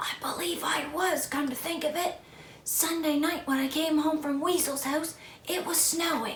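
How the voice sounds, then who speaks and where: A hoarse, whispered put-on character voice comes at a moderate pace. There is audible echo. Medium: read story.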